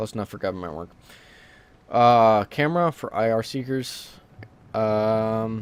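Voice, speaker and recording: Medium-pitched male speech at a fairly slow pace, with ordinary pitch variation, long and frequent pauses, and big swings in loudness. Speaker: gaming let's play creator. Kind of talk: casual gameplay commentary. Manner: hesitant, many fillers.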